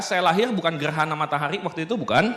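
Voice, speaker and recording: A man at a high pitch and very fast pace against noticeable background noise. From Indonesia, South Sumatra (Baturaja). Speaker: business motivational speaker. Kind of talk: seminar talk. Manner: casual, joking.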